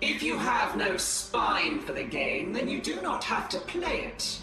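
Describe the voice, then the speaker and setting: A put-on character voice with a fairly high pitch, delivered at a fairly slow pace. There is a slight echo and clear background noise. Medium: short film. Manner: solemn, stern.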